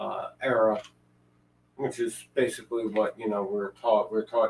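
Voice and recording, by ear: A man speaks at a fairly low pitch and a fairly slow pace, with little pitch movement. His slightly mellow tone carries vocal fry and a slightly husky edge.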